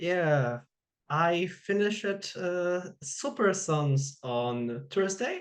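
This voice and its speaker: With a Polish accent, a woman speaks at a very slow pace, her fairly low voice making very wide pitch swings. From Poland. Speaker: interviewer. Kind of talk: interview. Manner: halting.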